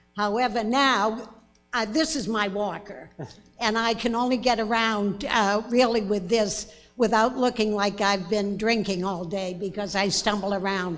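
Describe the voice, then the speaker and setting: There's audible room echo as a woman speaks fairly slowly with a fairly high pitch. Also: fairly even intonation. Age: 90s. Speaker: town resident speaking at meeting. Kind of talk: public comment at town meeting. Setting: town meeting hall with audience, microphone.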